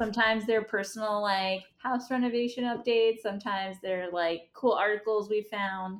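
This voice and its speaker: In a very clean recording with a silent background, a woman with an American accent speaks in an ordinary speaking voice at a fairly high pitch and a moderate pace, her intonation fairly even and hardly any pauses. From Staten Island, New York. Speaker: vineyard founder. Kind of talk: casual interview.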